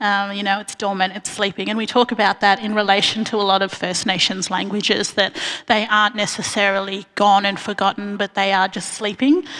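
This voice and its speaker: There is noticeable background noise as a woman talks with an Australian accent. Her medium-pitched voice stays monotone and flat. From Australia, grew up in Bendigo, Victoria; family from Arnhem Land. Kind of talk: panel talk. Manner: many fillers, um.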